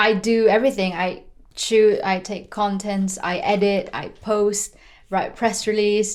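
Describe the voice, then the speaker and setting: A woman with a Filipino accent speaks at a fairly slow pace, her medium pitch held in fairly even intonation. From Philippines. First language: Tagalog. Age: 20s. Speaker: racing driver. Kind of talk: podcast interview. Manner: casual, with many fillers.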